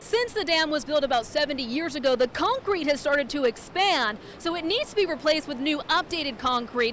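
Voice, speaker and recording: Amid noticeable background noise, a woman talks at a fairly quick pace with lively intonation. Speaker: TV news reporter and anchor. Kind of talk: news package voice-over.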